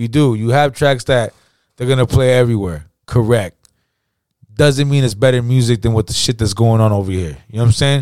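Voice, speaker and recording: An ordinary speaking voice: a man at medium pitch, fairly quick pace, ordinary pitch variation. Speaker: podcast co-host. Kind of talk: casual banter about hip hop. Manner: laid-back, profane, filler-heavy.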